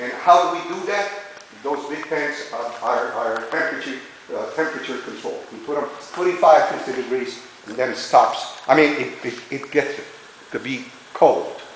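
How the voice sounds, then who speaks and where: A man speaks at a moderate pace with big swings in loudness. The room echo is audible and the background noise noticeable. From Italy. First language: Italian. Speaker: winery tour guide. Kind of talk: guided tour talk. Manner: animated, talks with his hands.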